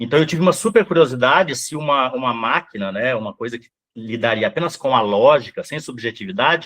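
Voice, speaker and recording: A man talks fairly quickly, his pitch swinging very widely. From Brazil, Rondônia (born Mato Grosso do Sul). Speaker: psychoanalyst. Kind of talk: interview. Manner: fast.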